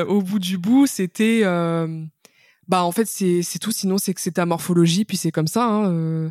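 The woman's pitch sits at a medium level. She speaks at a very slow pace. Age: 20s. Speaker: patient sharing her illness story, author. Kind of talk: testimony interview. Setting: remote recording.

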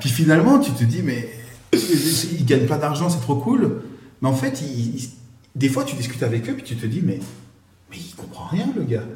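Amid noticeable background noise and audible room echo, a man with a fairly high pitch talks at a moderate pace with ordinary pitch variation and long, frequent pauses. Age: 30s. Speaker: mortgage credit manager. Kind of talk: casual chat.

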